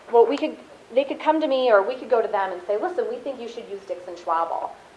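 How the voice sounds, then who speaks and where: A woman with a fairly high pitch talks at a very fast pace with very wide pitch swings and big swings in loudness, amid audible room echo and noticeable background noise. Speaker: marketing account supervisor, guest speaker. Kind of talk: class talk. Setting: classroom.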